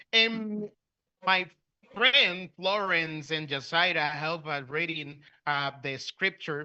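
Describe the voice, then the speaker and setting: Speaking very slowly with a Spanish accent, a man uses a fairly high pitch and ordinary pitch variation. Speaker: preacher. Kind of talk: sermon. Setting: church. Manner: halting.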